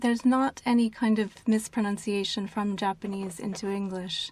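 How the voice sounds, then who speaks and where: A woman with an American accent has a normal speaking voice, fairly high in pitch, with fairly even intonation at a moderate pace. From United States. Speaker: publishing agency executive. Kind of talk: interview.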